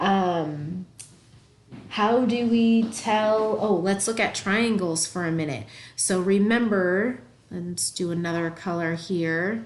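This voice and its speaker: Amid audible room echo, a woman speaks at a very slow pace with a medium pitch and ordinary pitch variation. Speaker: math teacher. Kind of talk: tutorial.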